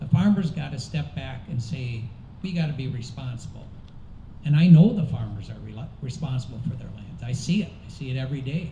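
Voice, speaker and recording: Fairly quick pace and lively intonation, with big swings in loudness, audible room echo and noticeable background noise. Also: man, medium pitch for a man. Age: 60s. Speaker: political candidate. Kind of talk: candidate forum answer.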